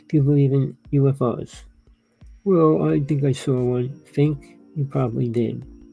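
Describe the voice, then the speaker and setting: With music in the background, a man with an American accent speaks at a fairly slow pace and medium pitch, using ordinary pitch variation and long, frequent pauses. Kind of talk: monologue to camera. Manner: rambling, conversational.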